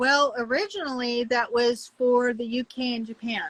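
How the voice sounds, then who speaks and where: A woman talks in an ordinary speaking voice at a fairly slow pace. Her pitch sits fairly high. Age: 60s. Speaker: soap maker, small business owner. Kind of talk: casual chat. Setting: live stream.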